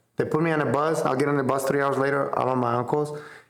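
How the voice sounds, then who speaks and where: A man talks at a fairly high pitch in a Spanish accent. Room echo is audible. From central Mexico, small town. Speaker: business owner. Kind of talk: casual interview chat. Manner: animated, casual.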